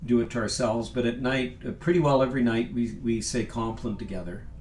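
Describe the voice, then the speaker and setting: Noticeable background noise and audible room echo surround the recording. A man of medium pitch speaks at a fairly quick pace with ordinary pitch variation. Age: 60s. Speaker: sacred music composer and singer. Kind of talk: casual chat. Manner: halting.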